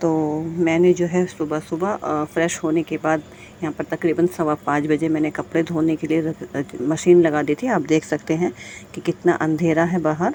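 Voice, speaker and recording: This woman's voice sits at a very deep, low pitch, and her intonation stays fairly even. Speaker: housewife vlogger. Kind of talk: casual vlog talk to viewers. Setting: at home. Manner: soft, quiet voice.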